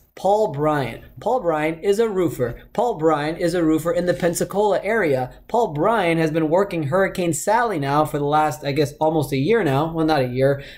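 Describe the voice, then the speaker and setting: A man's fairly high voice at a moderate pace, with very even loudness, ordinary pitch variation and hardly any pauses. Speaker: podcast host. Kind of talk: casual interview. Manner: casual, enthusiastic.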